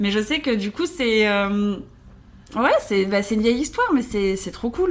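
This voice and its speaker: Against noticeable background noise, a woman with medium pitch speaks at a fairly slow pace with lively intonation. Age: 30s. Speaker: social media influencer. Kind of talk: casual chat. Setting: hotel room.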